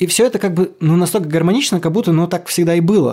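The delivery is very fast with lively intonation. Noticeable background noise runs underneath. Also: man. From Kolomna, Moscow region. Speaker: rock singer. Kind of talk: casual chat.

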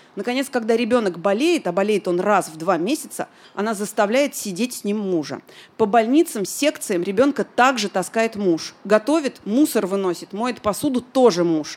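Moderate pace and lively intonation mark this an unremarkable speaking voice. The intonation rises and falls actively throughout. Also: woman, fairly high pitch for a woman. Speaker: podcast host. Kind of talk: live podcast recording answering listener questions. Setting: bar with live audience.

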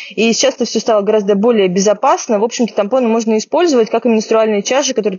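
At a very fast pace, a woman talks with a fairly high pitch and fairly even intonation. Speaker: podcast host, medical journalist. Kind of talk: casual chat. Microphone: poor sound due to technical problems.

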